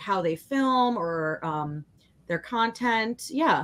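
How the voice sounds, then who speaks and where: This is a woman speaking. She has a Chicago accent. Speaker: online art show co-host. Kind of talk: casual chat on live stream. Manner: chatty, many fillers.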